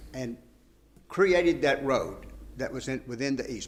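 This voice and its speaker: A man talks at a moderate pace while room echo is audible around him. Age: 70s. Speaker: lawyer. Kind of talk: appellate oral argument. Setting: courtroom.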